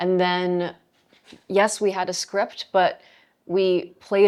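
Someone speaks at a very slow pace in a New York accent. The recording is very clean, with a silent background. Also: woman. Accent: New York American. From New York City (Flushing, Queens). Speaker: film director. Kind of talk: interview. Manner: halting.

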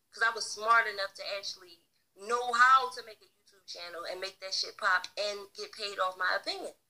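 With music in the background, a woman speaks at a moderate pace in a fairly high pitch, with an animated tone and ordinary pitch variation. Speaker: online streamer and book reader. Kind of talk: casual livestream rant. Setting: live stream.

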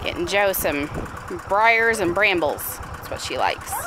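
Fairly slow speech, dry with no echo, over noticeable background noise. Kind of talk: casual vlog chat. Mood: relaxed, easygoing. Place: farm machine. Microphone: phone near.

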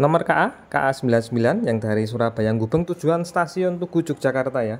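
Pacing is very slow for this man. He uses ordinary pitch variation. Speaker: railfan vlogger. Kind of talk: casual vlog narration. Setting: outdoors beside railway. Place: open country. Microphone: phone near.

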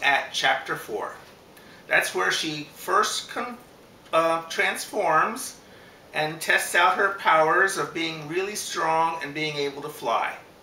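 A man with a high pitch speaks at a very slow pace. Audible room echo and light background noise surround his voice. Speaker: book reader. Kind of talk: casual book introduction. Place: home room. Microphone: camera far.

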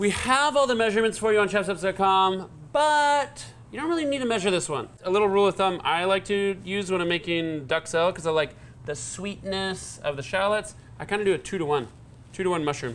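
A man with a high voice, very wide pitch swings and a fairly quick pace, over light background noise. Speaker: chef host. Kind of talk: cooking tutorial. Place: kitchen. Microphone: lapel.

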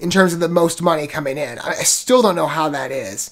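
A man speaks with lively intonation, and the background is quiet. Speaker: video reviewer. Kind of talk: casual commentary and trailer reaction. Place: home room. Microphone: earbuds.

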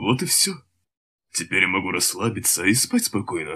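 A man puts on a character voice at a medium pitch, talking at a moderate pace. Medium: dub.

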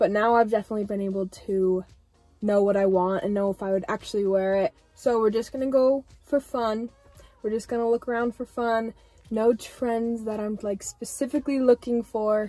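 Faint music plays behind a dry recording with no echo. A woman speaks at a moderate pace with fairly even intonation. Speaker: fashion vlogger. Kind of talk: casual vlog chat. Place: car. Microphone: phone near.

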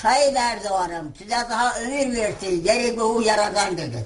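A woman's fairly high voice moves at a very slow pace with ordinary pitch variation. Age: 80s+. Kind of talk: casual talk, addressing prime minister.

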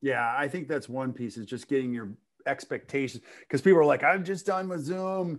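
Against a quiet background, a man speaks at a fairly quick pace. His fairly high voice has lively intonation. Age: 50s. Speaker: podcast host for dentists. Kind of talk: interview. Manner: animated. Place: home room. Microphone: video call.

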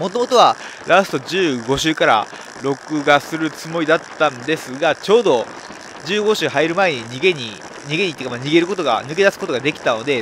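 With noticeable background noise behind him, a man speaks at a fairly high pitch and ordinary pitch variation. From Nara, Japan. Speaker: professional road cyclist. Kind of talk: race commentary over onboard video. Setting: recorded voice-over of race footage. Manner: explanatory, conversational.

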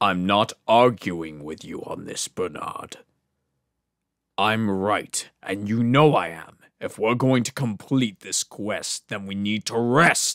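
Putting on a character voice, a man speaks fairly slowly at a fairly low pitch with ordinary pitch variation. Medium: voice reel. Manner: brusque, commanding.

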